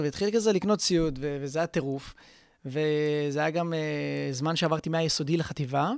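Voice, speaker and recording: A man speaks in an unremarkable speaking voice, pitched fairly high. The recording is very clean, with a silent background. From Israel, Haifa. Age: 20s. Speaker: DJ and music producer, student. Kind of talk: casual interview.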